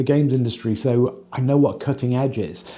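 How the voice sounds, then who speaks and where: In an English accent, a man speaks at a medium pitch and a moderate pace. His tone is dark and mellow. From England. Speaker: company employee, former games industry worker. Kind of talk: documentary interview.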